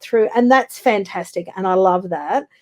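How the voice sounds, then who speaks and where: A woman with an Australian accent, medium pitch, ordinary pitch variation and a moderate pace. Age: 60s. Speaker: business development consultant. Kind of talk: interview.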